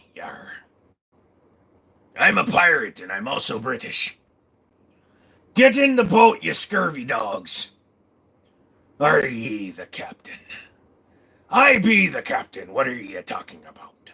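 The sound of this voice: A man puts on a gruff character voice. He moves at a fairly slow pace, with long, frequent pauses.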